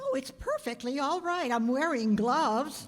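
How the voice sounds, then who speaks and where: Someone does a put-on character voice at a moderate pace over clear background noise. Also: woman, high pitch for a woman. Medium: stage play. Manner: fluttery, exclamatory.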